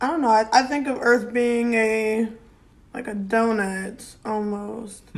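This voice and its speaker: Audible room echo surrounds a woman with a fairly high pitch who speaks at a very slow pace. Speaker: podcast host. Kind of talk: casual chat.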